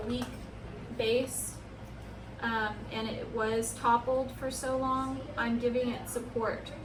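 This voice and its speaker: A loud, high-pitched woman's voice with monotone, flat intonation, audible room echo and noticeable background noise. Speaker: plant care YouTuber. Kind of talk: tutorial. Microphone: no microphone, camera audio.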